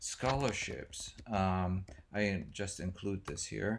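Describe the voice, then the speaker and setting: A man with a German accent speaks at a very slow pace and a fairly low pitch. The recording is very clean, with a silent background. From Germany. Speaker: music professor. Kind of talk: lecture. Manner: hesitant, many fillers.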